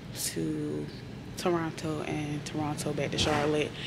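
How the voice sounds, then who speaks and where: Audible room echo and noticeable background noise surround the recording. A woman with a very deep, low pitch speaks at a fairly slow pace. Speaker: flight attendant vlogger. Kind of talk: casual vlog talk. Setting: crew room.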